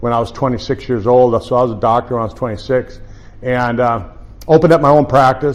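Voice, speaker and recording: Talking very fast with fairly even intonation, a man uses a medium pitch and an American accent. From United States. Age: 50s. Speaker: chiropractor. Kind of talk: presentation. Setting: room with live audience. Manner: halting, many repetitions and fillers.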